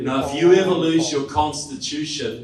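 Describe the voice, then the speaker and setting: A man talks with a New Zealand accent. Audible room echo and noticeable background noise come through. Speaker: political speaker and author. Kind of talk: public talk to an audience. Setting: stage with live audience. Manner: animated.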